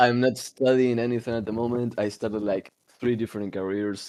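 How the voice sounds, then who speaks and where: A man is speaking. He has an Argentine accent. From Argentina. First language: Spanish. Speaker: podcast co-host. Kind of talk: casual chat. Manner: halting.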